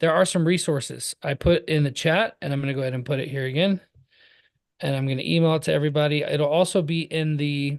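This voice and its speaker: Over a quiet background, a man with an American accent speaks at a fairly high pitch. His pace is very fast and his intonation fairly even. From California. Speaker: process server business coach. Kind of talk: live webinar training. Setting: video call with screen share. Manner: casual, filler-heavy.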